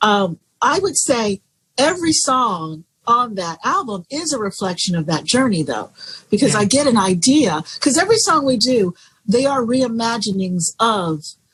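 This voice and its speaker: With an American accent, a woman talks at a moderate pace in a fairly high pitch with very wide pitch swings. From Florida, USA. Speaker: jazz singer. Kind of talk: interview answer.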